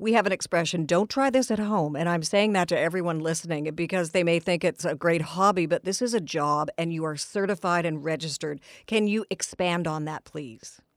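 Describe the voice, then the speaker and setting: In an unremarkable speaking voice, a woman talks at a fairly quick pace with a fairly low pitch, ordinary pitch variation and hardly any pauses. The recording is very clean, with a silent background and a dry, close sound with no echo. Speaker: radio host. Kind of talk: radio interview. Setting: studio.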